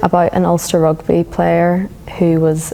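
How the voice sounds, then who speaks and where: A woman speaks in a Northern Irish accent at a fairly slow pace. There is noticeable background noise. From Northern Ireland, Belfast. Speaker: feminist activist. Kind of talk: interview.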